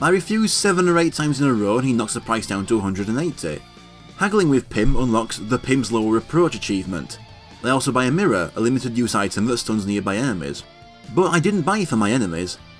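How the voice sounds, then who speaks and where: Over music in the background, a man with a medium pitch talks at a very fast pace, his voice making very wide pitch swings. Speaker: video game let's play narrator. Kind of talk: gameplay walkthrough narration.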